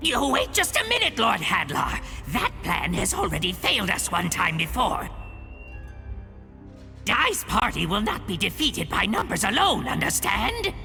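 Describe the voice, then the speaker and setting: A man performs a put-on character voice at a moderate pace over clear background music. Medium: video game. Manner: sly, sneering.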